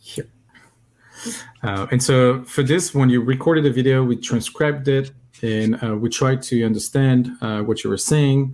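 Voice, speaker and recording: A man with a French accent speaks at a medium pitch and a moderate pace. His intonation stays fairly even. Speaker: software company representative. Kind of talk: live coding stream tutorial.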